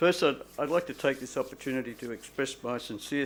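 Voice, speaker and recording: A man with an Australian accent, moderate pace and ordinary pitch variation. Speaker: doctor. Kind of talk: public lecture. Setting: stage with audience. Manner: halting.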